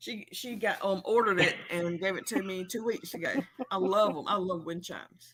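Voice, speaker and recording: At a moderate pace, a woman with an Alabama accent speaks in a medium pitch with ordinary pitch variation and big swings in loudness. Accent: Alabama accent, recognizable. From Alabama, US South. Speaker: livestream host. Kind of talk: casual chat. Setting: livestream.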